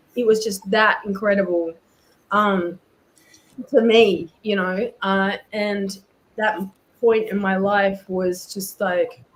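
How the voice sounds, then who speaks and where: A woman with a New Zealand accent speaks at a very slow pace in a monotone, flat intonation. She leaves long, frequent pauses. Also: medium pitch for a woman. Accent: Kiwi. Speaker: comic artist. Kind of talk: casual storytelling.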